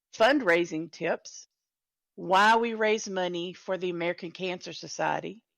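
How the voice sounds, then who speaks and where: Recorded very cleanly against a silent background, a woman in a Texan accent talks at a medium pitch and fairly slow pace with ordinary pitch variation. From Texas. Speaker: event host and volunteer organizer. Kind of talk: live-streamed event announcements. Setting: live stream in a virtual world event.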